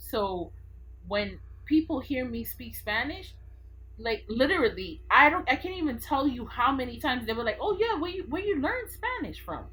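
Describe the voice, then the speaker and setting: Bright and sharp, a woman's high voice carries a New York accent. Her pitch swings very widely at a moderate pace. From Brooklyn, New York. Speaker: podcast guest. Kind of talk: casual chat. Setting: studio.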